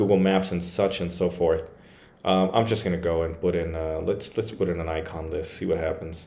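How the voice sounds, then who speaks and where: Audible room echo surrounds a man whose dark, mellow tone moves at a fairly quick pace with fairly even intonation. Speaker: WordPress tech reviewer. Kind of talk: screen-share tutorial review. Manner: casual, hesitant with fillers.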